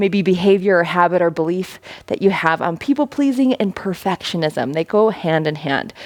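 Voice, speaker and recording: A woman's intonation is lively, and noticeable background noise can be heard around her voice. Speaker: fitness instructor. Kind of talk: workout instruction. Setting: home basement. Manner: fast; animated.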